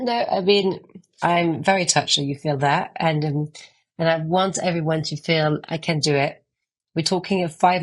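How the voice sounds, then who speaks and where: The woman has a very deep, low pitch and fairly even intonation, speaking at a fairly quick pace. The background is quiet. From France. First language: French. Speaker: author and art agency founder. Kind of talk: podcast interview. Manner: fast.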